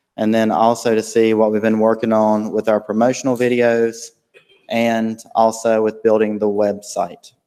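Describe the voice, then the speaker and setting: In a North Carolina accent, a man speaks at a moderate pace with a dark, mellow tone, monotone, flat intonation and very even loudness. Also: medium pitch for a man. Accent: Southern US (North Carolina). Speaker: school district program director. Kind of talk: presentation at board meeting.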